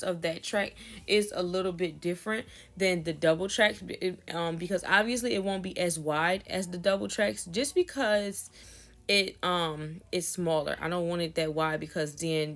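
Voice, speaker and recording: A woman's fairly low-pitched voice, an ordinary speaking voice, in a very clean recording with a silent background. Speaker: wig maker. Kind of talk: tutorial. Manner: casual, with filler words.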